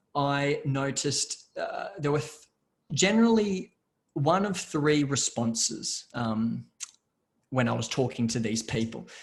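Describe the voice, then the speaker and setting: A man talks at a fairly slow pace with long, frequent pauses in a somewhat breathy voice. His pitch is fairly high and makes very wide swings. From Australia, Brisbane. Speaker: business process management company founder. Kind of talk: webinar presentation. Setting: video call. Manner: halting, with many fillers and repetitions.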